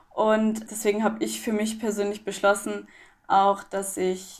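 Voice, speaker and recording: A woman with an ordinary speaking voice talks at a fairly slow pace, her pitch in the medium range. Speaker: para athlete. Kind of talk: interview.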